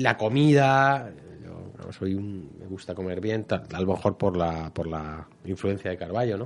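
A man with a fairly low pitch and an ordinary speaking voice talks at a fairly slow pace, his intonation lively and his loudness swinging widely. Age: 40s. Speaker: private detective and novelist. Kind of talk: radio interview.

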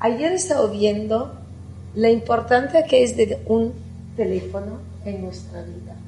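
Amid noticeable background noise and audible room echo, a woman speaks at a fairly slow pace with big swings in loudness. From Italy. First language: Italian (speaking Spanish). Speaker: architect. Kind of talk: conference talk.

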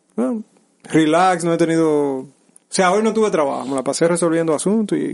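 This man's voice sits at a high pitch with ordinary pitch variation. He talks at a moderate pace. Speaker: podcast co-host. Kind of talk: casual chat. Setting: studio.

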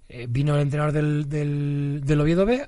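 Audible room echo follows a man whose fairly high pitch comes with a dark, mellow tone. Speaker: football fan guest, former social educator. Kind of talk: casual chat.

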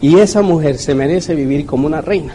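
A man's voice amid noticeable background noise. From Mexico, Puebla. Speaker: network marketing leader. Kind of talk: motivational talk.

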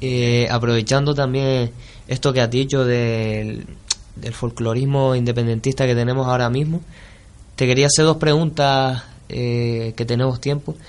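An unremarkable speaking voice from a man at medium pitch, fairly slow in pace, with fairly even intonation. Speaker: radio host. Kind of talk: interview.

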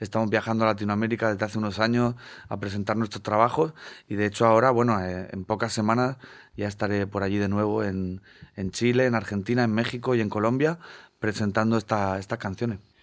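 A man's normal speaking voice, fairly low in pitch, at a fairly quick pace with fairly even intonation, on a very clean recording with a silent background. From Spain, Murcia (Segura river area). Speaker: singer-songwriter. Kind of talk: radio interview.

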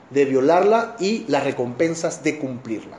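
A man speaks with lively intonation. There is noticeable background noise and audible room echo. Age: 50s. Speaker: Bible study teacher. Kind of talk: lecture.

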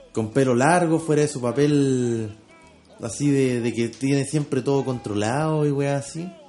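With a Chilean accent, a man talks fairly slowly in a fairly high voice and fairly even intonation over noticeable background noise. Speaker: podcast co-host. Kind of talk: casual chat.

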